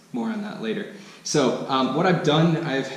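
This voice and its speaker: A man talks at a moderate pace with an American accent. Noticeable background noise and audible room echo surround him. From United States. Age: 20s. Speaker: expat vlogger. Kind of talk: casual vlog monologue. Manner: hesitant, many fillers.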